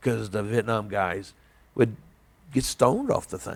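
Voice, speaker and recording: A man speaks with an American accent. His pitch is fairly low, with vocal fry. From southern Indiana, near Evansville. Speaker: army veteran. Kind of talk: oral history interview. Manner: halting, many fillers.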